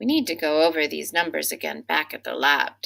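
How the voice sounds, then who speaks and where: A raspy, put-on character voice at a fairly quick pace, with big swings in loudness. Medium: read story. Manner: authoritative.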